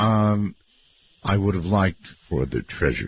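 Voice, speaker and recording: His voice carries a somewhat breathy quality. The man moves at a moderate pace. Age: 70s. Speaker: radio host. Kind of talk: call-in radio show.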